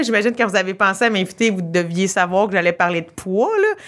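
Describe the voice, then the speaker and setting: A woman with a Quebec accent speaks at a moderate pace, her medium pitch rising and falling in an ordinary way. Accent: Québécois French. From Quebec, rural. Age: 30s. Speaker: comedian. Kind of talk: casual chat. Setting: comedy club. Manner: animated.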